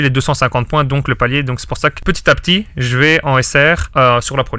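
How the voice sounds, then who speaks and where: This man has a bright, sharp tone and fairly even intonation. He speaks at a moderate pace on a very clean recording with a silent background. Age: 20s. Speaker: sports betting consultant. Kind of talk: podcast interview answer. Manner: casual, hesitant.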